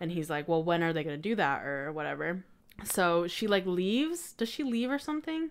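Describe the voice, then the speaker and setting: At a fairly quick pace, a woman with an American accent and a fairly low pitch makes very wide pitch swings in a very clean recording with a silent background. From Colorado, US. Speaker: podcaster. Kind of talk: casual chat.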